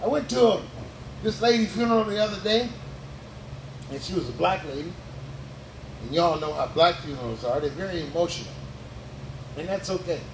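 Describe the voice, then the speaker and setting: A high-pitched male voice with an animated tone and very wide pitch swings, at a fairly quick pace with long, frequent pauses, amid noticeable background noise and audible room echo. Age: 60s. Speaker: stand-up comedian. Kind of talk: stand-up. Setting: stage with audience.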